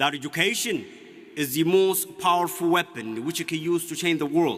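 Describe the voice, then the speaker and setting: Noticeable background noise sits behind a man whose high pitch moves with ordinary variation. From Ethiopia, Oromia. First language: Oromo. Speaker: graduating student speaker. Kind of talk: commencement speech. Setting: stage with audience. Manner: formal.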